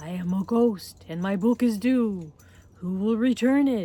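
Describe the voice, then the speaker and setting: At a moderate pace, a put-on character voice speaks at a fairly high pitch. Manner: howling, eerie.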